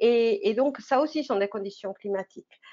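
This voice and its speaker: A woman speaks at a fairly slow pace. Her voice is fairly high, with lively intonation. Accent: non-native. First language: not French (speaking French). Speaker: oceanographer. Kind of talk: online science talk for teenagers. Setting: live online broadcast. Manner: halting, many fillers.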